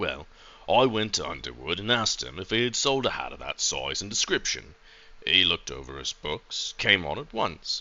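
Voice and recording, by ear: A natural voice reading aloud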